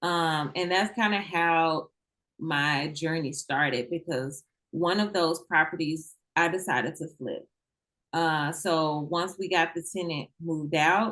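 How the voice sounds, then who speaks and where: At a fairly slow pace, a woman talks with a bright, sharp tone, a fairly low pitch and fairly even intonation. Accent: slight Southern US. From Mississippi, US South. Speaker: federal agent and real estate investor. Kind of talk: interview.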